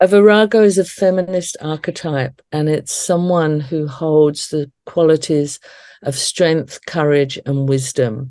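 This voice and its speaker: With an Australian accent, a woman speaks at a fairly slow pace in a very deep, low pitch, her tone dark and mellow, her pitch variation ordinary, against a quiet background. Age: 60s. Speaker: death celebrant and educator. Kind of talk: interview conversation.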